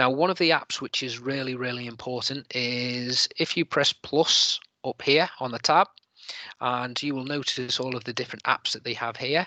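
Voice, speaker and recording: A bright, sharp tone with a slight Liverpool accent, moderate pace and fairly even intonation, dry with no echo over a quiet background. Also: man, medium pitch for a man. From Liverpool, England. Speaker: teacher presenting an edtech webinar; webinar presenter, trainer. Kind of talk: tutorial. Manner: hesitant, many fillers. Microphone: video call.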